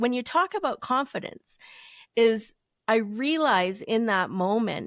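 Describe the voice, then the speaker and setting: Speaking at a fairly slow pace, a woman with a plain, everyday voice uses lively intonation at a fairly high pitch in a very clean recording with a silent background. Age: 40s. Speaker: photographer and confidence coach. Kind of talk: interview answer. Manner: casual, chatty.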